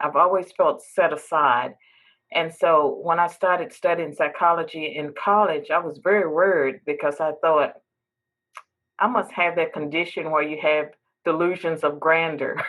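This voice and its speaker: In an American accent, a woman speaks at a moderate pace with fairly low pitch. Hers is an ordinary speaking voice with fairly even intonation. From US South, southwestern Virginia. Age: 60s. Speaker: professor and podcast host. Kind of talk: interview. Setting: podcast interview.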